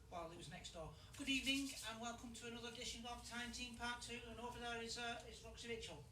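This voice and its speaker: A man speaks very fast in a raised, projected voice at an extremely high pitch, with ordinary pitch variation, audible room echo and noticeable background noise. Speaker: amateur video host. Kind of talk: casual vlog presenting. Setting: outdoors at castle ruins. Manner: halting, stammering.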